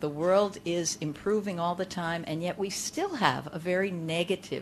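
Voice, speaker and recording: A woman with an ordinary speaking voice. Her pitch sits fairly low and she talks at a fairly slow pace. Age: 60s. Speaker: conference speaker. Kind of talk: keynote talk to a live audience. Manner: conversational, interacts with audience.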